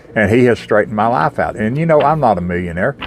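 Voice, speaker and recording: Noticeable background noise runs under the speech. The pitch swings very widely. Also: man. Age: 60s. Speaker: recovering alcoholic sharing faith testimony. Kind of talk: spoken testimony. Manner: halting, with many repetitions and fillers.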